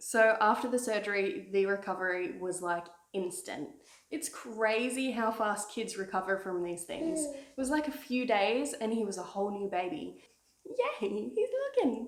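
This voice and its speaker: A woman with an Australian accent talks at a moderate pace in a fairly high voice with lively intonation. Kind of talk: casual talk to camera.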